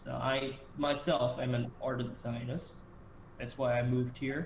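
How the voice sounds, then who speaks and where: Heard with audible room echo, a man speaks at a moderate pace with an American accent. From US, Delaware. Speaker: podcast host. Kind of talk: casual chat.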